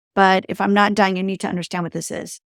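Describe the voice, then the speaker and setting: The delivery is monotone with flat intonation, in a very clean recording with a silent background and a dry, close sound with no echo. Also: woman. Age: 60s. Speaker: leadership coach and entrepreneur. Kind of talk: interview. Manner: casual, with many fillers.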